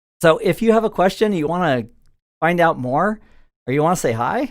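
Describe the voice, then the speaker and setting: In an American accent, a man speaks at a fairly quick pace with lively intonation on a very clean recording with a silent background. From Southern California. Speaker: IT instructor. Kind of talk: live-stream quiz tutorial. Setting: home studio. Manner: casual, chatty.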